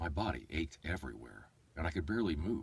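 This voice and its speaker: A man talks at a fairly quick pace with lively intonation. His very deep, low voice carries vocal fry. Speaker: voice-over artist and audiobook narrator. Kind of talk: audiobook narration; casual livestream chat. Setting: livestream from an iPad. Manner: fast.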